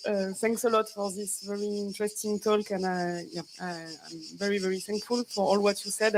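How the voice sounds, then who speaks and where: With a French accent, a woman talks at a moderate pace in a medium pitch and fairly even intonation. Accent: French, noticeable. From France. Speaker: audience member asking a question. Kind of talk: audience question. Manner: halting.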